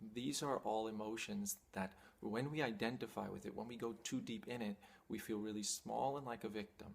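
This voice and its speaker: Medium pitch from a man with an unremarkable speaking voice, ordinary pitch variation and a moderate pace. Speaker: spiritual teacher. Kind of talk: talking-head teaching monologue.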